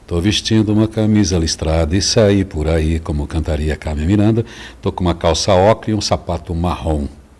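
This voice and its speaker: He speaks at a moderate pace. The man's pitch is very deep and low. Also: ordinary pitch variation. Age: 60s. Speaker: business partner guest. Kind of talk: podcast interview.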